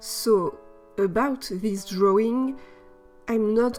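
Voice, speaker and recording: A woman with a non-native accent, fairly high pitch and ordinary pitch variation, at a very slow pace, with music in the background. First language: non-native English speaker. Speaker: artist. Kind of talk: art process voiceover. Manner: casual, slightly hesitant.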